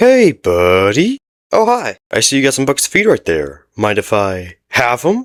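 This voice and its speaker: A man uses a cartoonish character voice at a medium pitch. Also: moderate pace. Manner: wheedling then menacing.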